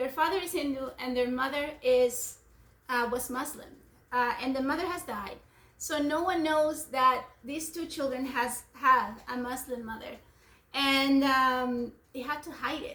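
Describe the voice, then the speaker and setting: A woman's high, bright, sharp voice, raised and projected, at a fairly slow pace with a non-native accent and audible room echo. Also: fairly even intonation. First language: not English. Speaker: homeschooling parent. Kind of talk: book discussion with children.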